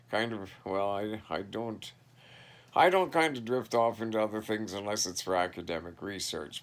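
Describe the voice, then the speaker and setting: A man with a Canadian prairie accent speaks with a fairly low pitch and ordinary pitch variation. The recording is very clean, with a silent background. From Canada, southeast Saskatchewan. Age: 60s. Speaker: vlogger. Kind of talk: casual monologue. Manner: halting.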